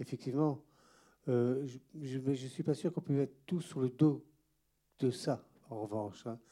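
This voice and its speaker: A man with a medium-pitched, dark and mellow voice speaks at a fairly slow pace with ordinary pitch variation, leaving long, frequent pauses. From eastern DR Congo (Goma), then France. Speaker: retired history teacher. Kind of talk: panel talk after film screening.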